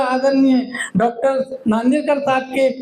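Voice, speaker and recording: Over noticeable background noise, a man talks at an extremely high pitch. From Madhya Pradesh, India. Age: 70s. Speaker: retired government official, diabetes awareness volunteer. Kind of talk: speech at a meeting.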